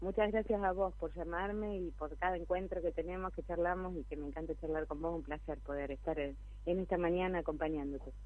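A woman talks at a fairly quick pace with hardly any pauses. Audible room echo surrounds her voice. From Argentina, Buenos Aires province town. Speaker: local council candidate and church leader. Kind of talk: radio interview. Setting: phone call.

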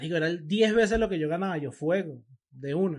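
A man speaks with a Venezuelan accent and ordinary pitch variation at a fairly quick pace. The background is quiet. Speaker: podcast co-host. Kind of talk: casual chat.

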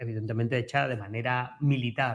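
Somewhat breathy speech at a moderate pace in an Andalusian accent. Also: man. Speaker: history professor. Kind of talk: educational radio talk.

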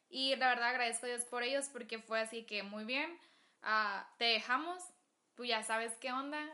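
Her pitch high, a woman speaks with ordinary pitch variation. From Agua Prieta, Sonora, Mexico. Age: 20s. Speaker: gastronomy student. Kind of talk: casual chat.

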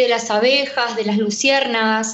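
Audible room echo and noticeable background noise accompany a woman whose pitch varies in an ordinary way. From Buenos Aires western suburbs, Argentina. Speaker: radio co-host. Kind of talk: radio interview.

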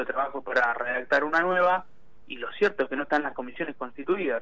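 With noticeable background noise, a man speaks in a fairly high pitch with ordinary pitch variation. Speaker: parliamentary affairs commentator. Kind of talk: political analysis interview.

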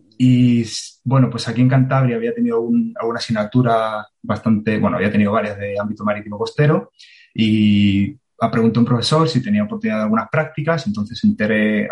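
A somewhat breathy man of medium pitch, at a very fast pace with ordinary pitch variation. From Andalusia, Spain (Marbella). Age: 30s. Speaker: coastal engineer and surfer. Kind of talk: explanatory interview.

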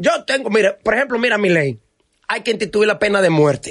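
This man speaks at a fairly quick pace in a high pitch, his intonation lively. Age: 50s. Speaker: actor. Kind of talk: casual chat.

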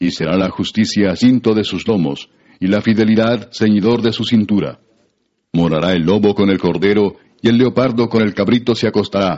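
Here is a man with a normal speaking voice and fairly low pitch. He keeps a moderate pace and ordinary pitch variation. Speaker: scripture narrator. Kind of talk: scripture reading, solemn literary narration. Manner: measured, formal, steady.

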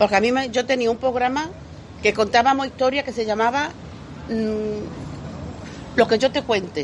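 With noticeable background noise behind her, a woman speaks at a moderate pace and a fairly high pitch, using ordinary pitch variation and long, frequent pauses. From Andalusia, Lebrija (Seville province). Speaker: community radio reporter and market vendor. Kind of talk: casual interview. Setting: outdoors at a breakfast in central Seville.

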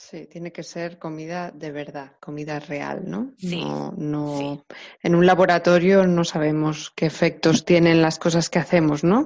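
A woman speaks at a fairly low pitch and a fairly slow pace. Her intonation stays fairly even. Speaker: podcast host and translator. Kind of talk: interview.

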